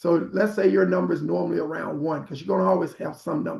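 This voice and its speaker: A man talks at a very fast pace in a fairly high pitch with vocal fry. His pitch swings very widely. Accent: American. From Arkansas, US South. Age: 60s. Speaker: prostate cancer survivor and health advocate. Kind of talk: health talk on a group call.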